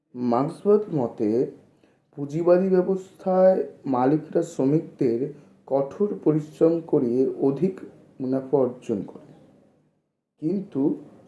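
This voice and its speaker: A man talks in a normal speaking voice with ordinary pitch variation. His loudness swings widely. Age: 20s. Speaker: YouTuber explaining political theory. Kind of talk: lecture.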